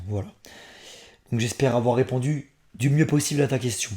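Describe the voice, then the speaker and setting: A man speaks at medium pitch with a dark, mellow tone, somewhat breathy and at a moderate pace. His pitch varies in an ordinary way, and the recording is very clean with a silent background. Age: 30s. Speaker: comics reviewer YouTuber. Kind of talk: casual Q&A vlog.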